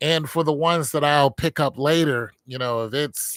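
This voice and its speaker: On a very clean recording with a silent background and a dry, close sound with no echo, a man talks at a moderate pace with ordinary pitch variation in an ordinary speaking voice. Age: 50s. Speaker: vlogger talking about his health. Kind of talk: casual monologue vlog. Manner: casual, repetitive, conversational.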